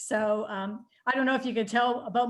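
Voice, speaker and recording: A woman's voice at a moderate pace with monotone, flat intonation. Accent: slight Canadian. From Canada. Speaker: nutritionist and IT worker. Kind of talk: casual chat. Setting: video call. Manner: halting, many fillers.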